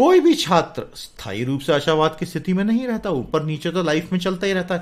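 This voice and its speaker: Using very wide pitch swings in a high pitch, a man talks at a fairly slow pace. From India. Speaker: English teacher. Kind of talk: lecture.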